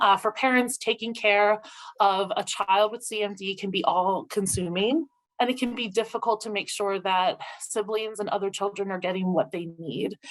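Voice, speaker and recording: This woman has an unremarkable speaking voice at medium pitch. She talks at a moderate pace with ordinary pitch variation. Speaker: social worker. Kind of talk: webinar presentation.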